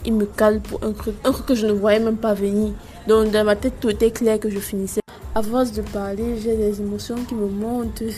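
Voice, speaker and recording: The voice moves at a moderate pace in a flat monotone, over noticeable background noise. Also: woman, fairly high pitch for a woman. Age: 20s. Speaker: podcaster. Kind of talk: casual monologue.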